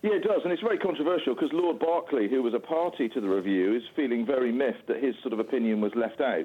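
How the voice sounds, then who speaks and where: With a British accent and a medium pitch, a man speaks at a very fast pace with lively intonation, very even loudness, and hardly any pauses. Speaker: rail campaigner. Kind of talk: interview. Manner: halting.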